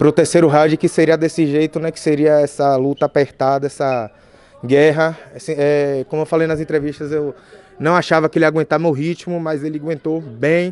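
A fairly high male voice in a Bahian accent, monotone and flat, at a moderate pace, dry with no echo. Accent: Bahian Brazilian Portuguese. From Bahia, Brazil (Feira de Santana); Bahia, Brazil. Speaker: MMA fighter. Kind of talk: post-fight interview. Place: meeting room. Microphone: podium.

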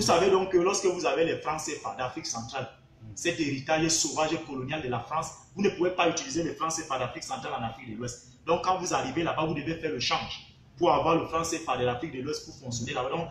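Speaking at a very fast pace with a Cameroonian accent, a man with a fairly high pitch and ordinary pitch variation comes through light background noise and audible room echo. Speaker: university researcher and political commentator; political commentator. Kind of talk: heated political commentary interview. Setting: live online video stream. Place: home room. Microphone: phone near.

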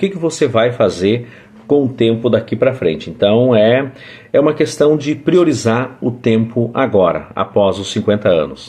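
A man speaks at a moderate pace. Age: 40s. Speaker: vlogger. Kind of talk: casual monologue. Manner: halting. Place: home room. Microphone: phone near.

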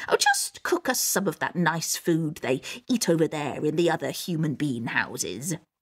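In a put-on character voice, a woman speaks low in pitch with a slightly husky edge, a fairly bright tone, big pitch swings and a fairly slow pace.

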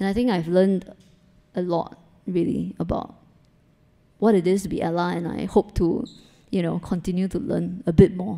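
A woman's dark, mellow voice with vocal fry, ordinary pitch variation, a moderate pace and long, frequent pauses, over a quiet background. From Singapore. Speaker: photographer; guest. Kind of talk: panel talk before audience. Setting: gallery event with live audience. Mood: warm, appreciative. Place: hall. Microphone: handheld.

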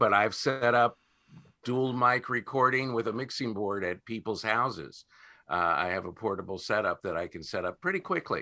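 Bright and sharp in tone, a man talks at a moderate pace with lively intonation. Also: quiet background. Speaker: voiceover artist and audio producer; panelist, podcast practitioner. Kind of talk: casual explanation. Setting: video call. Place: home room. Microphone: webcam.

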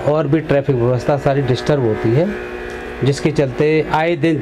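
Noticeable background noise behind a man's fairly slow speech. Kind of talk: interview answer. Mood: earnest complaint about civic problems. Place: office. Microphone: handheld.

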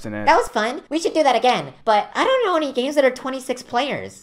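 A cartoonish character voice, female-sounding, comes out bubbly and high-pitched. It moves at a moderate pace. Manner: bubbly, excitable.

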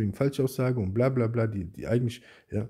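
A very fast, somewhat breathy male voice with a dark, mellow tone, ordinary pitch variation and a quiet background. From Germany. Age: 40s. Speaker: YouTuber. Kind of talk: angry response video rant. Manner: agitated, insulting; repetitive, stammering restarts. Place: home room. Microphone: phone near.

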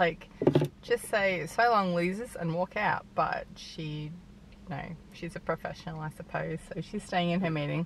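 The speech moves at a moderate pace with ordinary pitch variation. The sound is dry with no echo, over light background noise. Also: woman. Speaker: vlogger. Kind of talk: casual vlog chat. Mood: cheerful, relaxed. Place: car. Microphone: phone near.

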